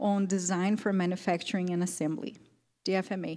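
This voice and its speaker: A woman with a non-native accent speaks at a moderate pace, her tone dark and mellow. She sounds somewhat breathy on a very clean recording with a silent background. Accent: non-native accent, self-noted. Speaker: event moderator. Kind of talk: speaker introduction.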